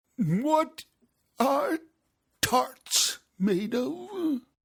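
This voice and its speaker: A man puts on a character voice, pitched extremely high for a man, with very wide swings in pitch. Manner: melancholy, solemn.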